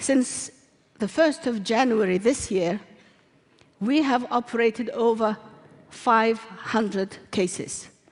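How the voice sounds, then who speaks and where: A woman with a fairly high voice speaks very slowly, with ordinary pitch variation and long, frequent pauses, over noticeable background noise. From Somaliland. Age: 70s. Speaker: midwife. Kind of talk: conference talk.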